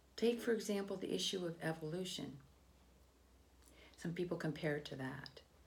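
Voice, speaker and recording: Somewhat breathy, a woman talks at a moderate pace in a medium pitch. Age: 60s. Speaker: political commentator. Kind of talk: opinion monologue. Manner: halting.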